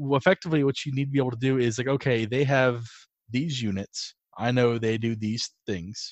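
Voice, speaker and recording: In an unremarkable speaking voice, a man talks at a fairly quick pace with a medium pitch and ordinary pitch variation. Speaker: podcast co-host. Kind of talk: casual podcast chat.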